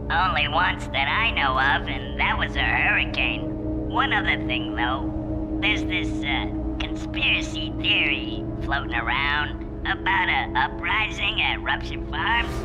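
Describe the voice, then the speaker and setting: A cartoonish character voice speaks at a fairly slow pace over loud background music. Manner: deferential, hesitant.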